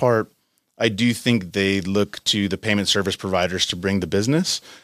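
A man speaks at a fairly quick pace with ordinary pitch variation. The sound is dry and close, with no echo. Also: very clean recording, silent background. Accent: American. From southern California, US. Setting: studio.

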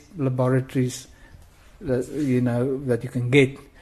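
This man's voice is somewhat breathy with a fairly high pitch. He keeps a moderate pace. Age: 40s. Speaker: amateur detective. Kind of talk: interview. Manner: urgent; halting.

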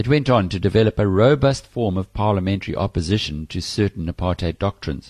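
A man with a somewhat breathy, fairly low voice, lively intonation and a very fast pace, over a quiet background. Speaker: audiobook narrator. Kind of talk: audiobook reading of a political history, formal narration. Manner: measured, formal, even-paced.

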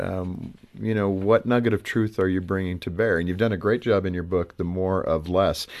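With a normal speaking voice, a man of fairly low pitch talks with ordinary pitch variation against a quiet background. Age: 50s. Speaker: radio host. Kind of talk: interview.

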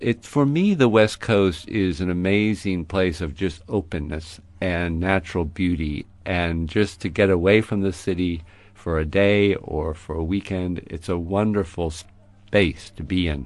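In an American accent, a man speaks at a fairly slow pace. His pitch is very deep and low, over a quiet background. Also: ordinary pitch variation. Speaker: geology professor and author. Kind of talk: radio interview. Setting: studio.

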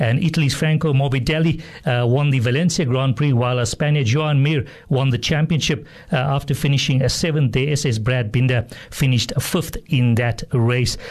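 This man talks at a medium pitch and a moderate pace, somewhat breathy. His loudness stays very even. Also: ordinary pitch variation. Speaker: radio sports presenter. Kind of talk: radio host news and interview. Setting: radio studio.

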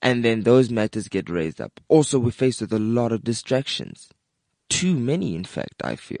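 Lively intonation at a moderate pace. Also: man, medium pitch for a man. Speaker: podcast co-host. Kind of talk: casual chat. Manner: laid-back.

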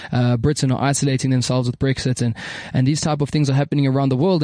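A man talks at a very fast pace with a fairly high pitch and a dark, mellow tone. The sound is dry and close, with no echo. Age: young. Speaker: radio host. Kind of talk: casual chat. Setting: studio. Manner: animated.

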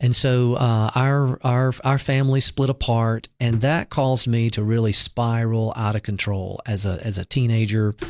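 A man's medium-pitched voice with a Southern US accent, monotone, flat intonation and a moderate pace. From US South, Mississippi. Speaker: pastor. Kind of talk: interview testimony.

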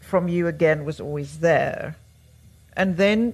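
A woman's somewhat breathy voice moves very slowly, with pitch that varies in an ordinary way. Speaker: writer and interviewer. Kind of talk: onstage interview. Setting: stage with audience.

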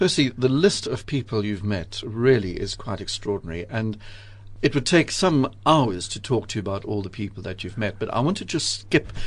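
A man speaks at a moderate pace in a somewhat breathy, medium-pitched voice with lively intonation and big swings in loudness. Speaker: radio host. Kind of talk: radio interview. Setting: studio.

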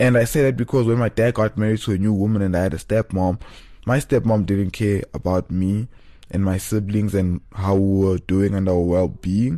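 With a South African accent, a man speaks at a moderate pace in a fairly low pitch, his tone dark and mellow. His loudness stays very even, with ordinary pitch variation. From South Africa, Johannesburg. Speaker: podcast host. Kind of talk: casual monologue. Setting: studio, solo.

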